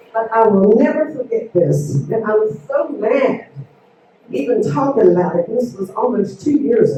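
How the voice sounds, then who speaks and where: With an American accent, a woman speaks in very wide pitch swings over noticeable background noise. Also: fairly high pitch for a woman, moderate pace. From West Virginia. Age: 60s. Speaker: constituent speaking at town hall. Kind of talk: public comment at town hall. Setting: town hall meeting with audience.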